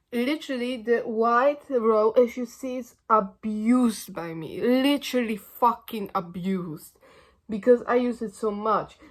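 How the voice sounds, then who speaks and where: Loud and fairly slow, a woman talks at a fairly high pitch with ordinary pitch variation, recorded very cleanly against a silent background. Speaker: makeup content creator. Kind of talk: casual beauty vlog tutorial. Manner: halting, many fillers and restarts.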